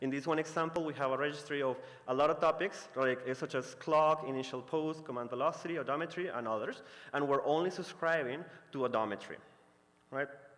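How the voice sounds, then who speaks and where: Delivered at a very fast pace, a man's speech keeps fairly even intonation. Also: fairly high pitch for a man. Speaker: conference presenter. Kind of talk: technical talk. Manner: hesitant, many fillers.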